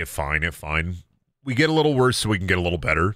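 Talking at a fast pace, a man uses a low pitch, big pitch swings and a fairly bright tone.

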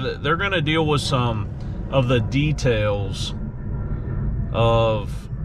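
With noticeable background noise behind him, a man speaks with ordinary pitch variation in a dry sound with no echo. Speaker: dog owner vlogger. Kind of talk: casual vlog chat. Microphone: phone near.

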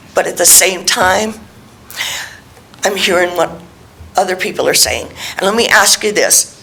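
A woman speaks at a fairly slow pace with long, frequent pauses. The room echo is audible, and background noise is noticeable. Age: 60s. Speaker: member of the public speaking at council. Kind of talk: public comment. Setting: city council meeting hall. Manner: emphatic.

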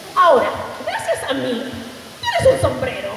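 Over audible room echo, a woman puts on a character voice at a high pitch, with very wide pitch swings, vocal fry, and a fairly slow pace. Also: fairly bright tone.

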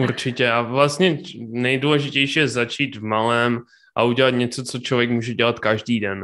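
A man talks at a fairly slow pace with a bright, sharp tone and fairly even intonation. The background is quiet. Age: 20s. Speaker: entrepreneur; guest. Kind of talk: interview. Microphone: studio mic.

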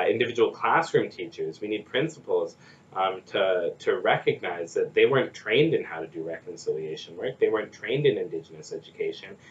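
At a fairly quick pace, a man speaks with a Canadian Prairie accent. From Saskatchewan, Canada (First Nation). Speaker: nonprofit executive director. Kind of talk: interview. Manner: halting, many fillers and repetitions. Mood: thoughtful, earnest. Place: office. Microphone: camera far.

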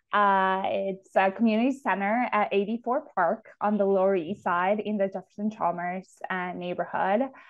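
A woman at a moderate pace, hardly any pauses, fairly even intonation, and a quiet background. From Ecuador (Quito), moved to Houston, Texas at 13. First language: Spanish. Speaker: city sustainability official, architect and urban planner; guest. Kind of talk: interview conversation. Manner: frequent fillers (um, uh). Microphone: earbuds.

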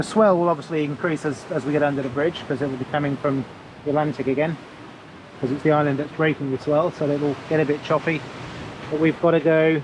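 Noticeable background noise sits behind a man who speaks at a very fast pace with monotone, flat intonation, in a dry sound with no echo. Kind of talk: casual vlog chat. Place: boat. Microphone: phone near.

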